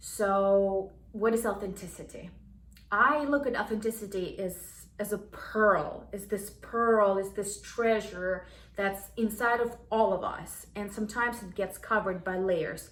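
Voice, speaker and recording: A woman with a non-native accent speaks at a fairly slow pace, her intonation fairly even, with audible room echo. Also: medium pitch for a woman. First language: not English. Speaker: self-help vlogger. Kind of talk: casual talk to camera. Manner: halting, many restarts.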